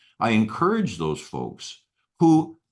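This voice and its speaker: Against a quiet background, a man's pitch swings very widely. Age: 60s. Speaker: retired engineer. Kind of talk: interview. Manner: halting, many repeated words.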